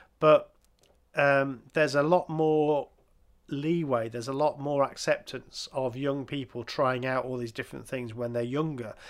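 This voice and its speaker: On a very clean recording with a silent background, a man with an English accent speaks at a fairly high pitch and a moderate pace with fairly even intonation. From England. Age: 50s. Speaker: podcast host. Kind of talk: casual chat.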